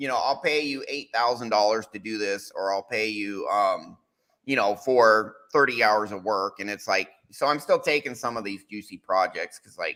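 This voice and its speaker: A man's medium-pitched voice with a bright, sharp tone, big swings in loudness, ordinary pitch variation and a moderate pace, on a very clean recording with a silent background. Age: 40s. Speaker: podcast host. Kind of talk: casual panel discussion.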